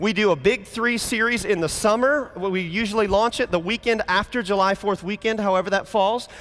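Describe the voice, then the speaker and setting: A man with a high pitch and an animated tone keeps his loudness very even over noticeable background noise. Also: ordinary pitch variation, hardly any pauses. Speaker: pastor. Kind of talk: conference talk. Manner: fast.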